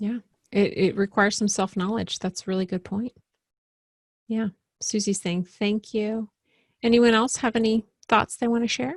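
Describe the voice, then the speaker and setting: Long, frequent pauses break up a woman's somewhat breathy speech, recorded with a dry, close sound and no echo. Her pitch is fairly high and her intonation fairly even. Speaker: workshop facilitator. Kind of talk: webinar presentation. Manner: fast.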